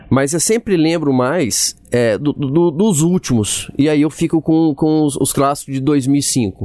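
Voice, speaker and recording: A man talks very slowly, his pitch fairly high. His intonation is lively. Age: 40s. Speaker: former footballer. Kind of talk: casual chat.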